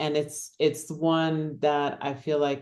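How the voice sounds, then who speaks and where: In a very deep, low pitch and a dark, mellow tone, a woman speaks at a very slow pace. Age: 60s. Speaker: author. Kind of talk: interview.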